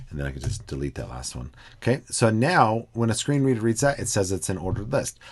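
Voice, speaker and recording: A man with a fairly low voice and vocal fry talks at a very fast pace, with very wide pitch swings and big swings in loudness. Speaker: educational technology trainer; instructor. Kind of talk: screen-recorded tutorial. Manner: hesitant with fillers.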